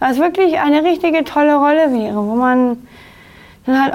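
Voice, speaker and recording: At a moderate pace, a woman speaks, her pitch varying in an ordinary way. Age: 30s. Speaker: actress with Down syndrome, inclusion advocate. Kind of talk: interview. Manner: halting, many fillers.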